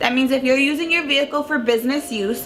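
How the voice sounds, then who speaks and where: In an American accent, the speaker uses fairly even intonation against noticeable background noise. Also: woman. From Long Island, New York. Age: 20s. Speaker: tax professional. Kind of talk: casual educational talk to camera.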